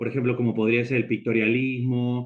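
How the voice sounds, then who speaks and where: A man's medium-pitched voice at a very fast pace. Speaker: lecturer on experimental photography. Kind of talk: lecture.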